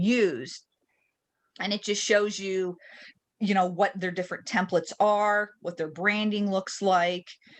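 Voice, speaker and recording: A woman's medium-pitched, unremarkable speaking voice at a moderate pace, with ordinary pitch variation and a quiet background. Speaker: real estate trainer. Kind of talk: tutorial. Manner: casual with fillers.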